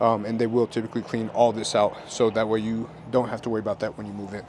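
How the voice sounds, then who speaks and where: Over noticeable background noise, a man talks very fast at a medium pitch in an upbeat tone. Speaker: real estate agent. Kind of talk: home tour walkthrough. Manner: casual, upbeat.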